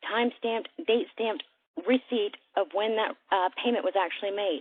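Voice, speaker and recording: Talking at a fairly quick pace, a woman has a fairly high pitch. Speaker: sales presenter. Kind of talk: sales pitch. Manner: fast; animated.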